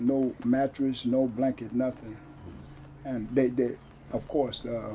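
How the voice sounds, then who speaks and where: A man speaks very slowly in an American accent, his tone dark and mellow and his intonation flat and monotone. Light background noise sits under the voice. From Stockton, California; California. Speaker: former prisoner and activist. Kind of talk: interview. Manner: halting. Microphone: camera far.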